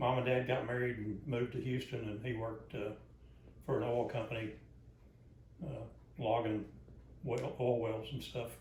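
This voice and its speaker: With a Southern US accent, a man talks at a moderate pace and medium pitch, his somewhat breathy voice flat and monotone, broken by long, frequent pauses and carried by audible room echo. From US South, Arkansas. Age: 70s. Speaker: grandfather being interviewed. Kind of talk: family interview. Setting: at home, living room.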